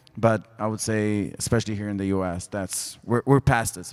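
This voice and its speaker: Fairly even intonation from a man with a fairly low voice, at a moderate pace. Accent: Israeli. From Israel. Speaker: sports tech executive. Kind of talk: panel discussion. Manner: halting.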